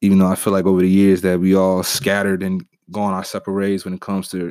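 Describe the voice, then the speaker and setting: In a very clean recording with a silent background, a man with a very deep, low voice and an American accent talks at a fairly quick pace. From Chicago, west side. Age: 20s. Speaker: podcast host. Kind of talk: casual monologue.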